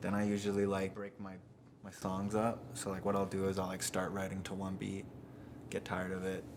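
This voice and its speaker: A man with a western Canadian accent, fairly low in pitch, monotone and flat in intonation, at a moderate pace, with audible room echo. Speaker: rapper. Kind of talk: documentary interview. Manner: casual, filler-heavy.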